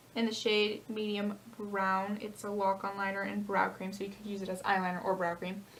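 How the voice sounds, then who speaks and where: Over noticeable background noise, a woman speaks at a medium pitch and moderate pace in a monotone, flat intonation with hardly any pauses. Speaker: beauty vlogger. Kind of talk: makeup tutorial. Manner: casual, filler-heavy; loud.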